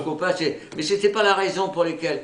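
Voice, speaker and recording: Against noticeable background noise, a man speaks at a high pitch. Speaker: war veteran, former soldier and prisoner of war. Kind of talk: oral history interview answer, recounting wartime memories. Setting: interview recording. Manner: calm, hesitant, reflective.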